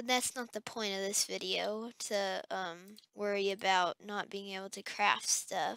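With a bright, sharp tone, a woman talks at a fairly slow pace in a dry sound with no echo. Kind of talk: gameplay commentary.

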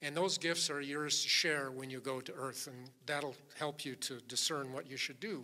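In an American accent, a man with a fairly high pitch and a bright, sharp tone talks at a moderate pace with fairly even intonation. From Minnesota, St. Paul; Minnesota. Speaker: author and motivational speaker; motivational speaker. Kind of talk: keynote speech. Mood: warm, storytelling. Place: hall. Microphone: podium.

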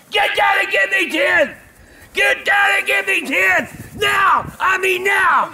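A man shouts in a put-on character voice at an extremely high pitch. His pace is fairly slow. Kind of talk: barking commands. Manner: yelling.

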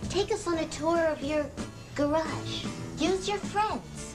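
A woman speaks at a very slow pace while clear music plays in the background. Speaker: TV host. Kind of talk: comedic TV promo read. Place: home room.

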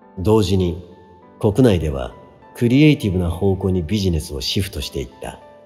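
A man with a very deep, low pitch and lively intonation at a moderate pace, over music in the background. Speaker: musician. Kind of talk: audiobook reading.

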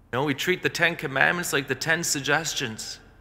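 Here a man talks at a moderate pace. His intonation stays fairly even. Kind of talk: sermon. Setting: church. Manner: earnest, forceful preaching; direct, warning the congregation. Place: church.

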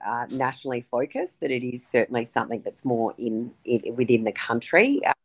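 A woman speaks with an Australian accent at a fairly quick pace. The background is quiet. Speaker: politician. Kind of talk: interview. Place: home room. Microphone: video call.

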